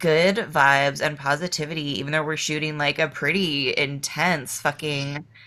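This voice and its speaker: With an American accent, a woman speaks at a very deep, low pitch in a bright, sharp tone, with fairly even intonation and hardly any pauses, on a very clean recording with a silent background. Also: moderate pace. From eastern Massachusetts, Boston area. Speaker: adult film performer and filmmaker. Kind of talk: casual chat.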